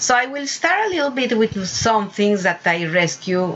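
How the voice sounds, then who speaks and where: Through noticeable background noise, a woman with a Spanish accent speaks at a fairly slow pace with lively intonation. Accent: non-native English, Spanish-speaking. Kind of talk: casual video talk. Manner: halting, many fillers.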